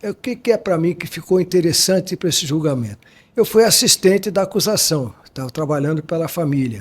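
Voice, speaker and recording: A man's lively intonation at a fairly quick pace. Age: 80s+. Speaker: criminal defense lawyer. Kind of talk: interview.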